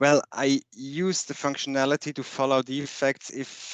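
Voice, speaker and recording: The recording of this man has a dry, close sound with no echo. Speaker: software defect manager. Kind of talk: interview.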